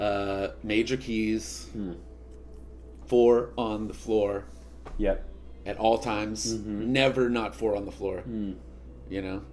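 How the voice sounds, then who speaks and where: Pausing long and often, a fairly low-pitched man with an American accent talks at a very slow pace with lively intonation, and audible room echo surrounds his voice. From Oklahoma, Tulsa. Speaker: bass player. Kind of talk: casual chat. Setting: at his home.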